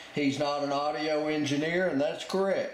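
A man with ordinary pitch variation, audible room echo and light background noise. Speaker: radio hobbyist. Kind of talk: tutorial. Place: home room.

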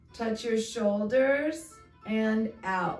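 At a very slow pace and with ordinary pitch variation, the voice carries audible room echo over faint music in the background. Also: woman. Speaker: fitness instructor. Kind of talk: exercise class instruction. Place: home room. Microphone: camera far.

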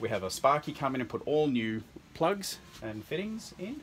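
Moderately paced male speech with light noise in the background. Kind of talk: tour commentary. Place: home room. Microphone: phone near.

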